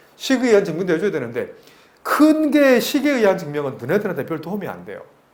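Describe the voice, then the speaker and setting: This man talks at a very fast pace with a high pitch and very wide pitch swings. Room echo is audible. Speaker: math tutor. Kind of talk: lecture.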